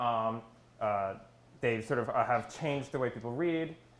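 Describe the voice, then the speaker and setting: There is audible room echo. It surrounds a man as he talks. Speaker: conference speaker, graduate student. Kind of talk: conference talk. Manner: fast; hesitant, many fillers.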